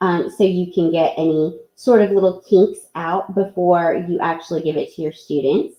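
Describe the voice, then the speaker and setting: Her pitch is fairly low for a woman, and her intonation is fairly even. She talks with hardly any pauses. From US South. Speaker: teacher presenting at an online education event. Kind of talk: live software tutorial. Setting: live online presentation. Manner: slow.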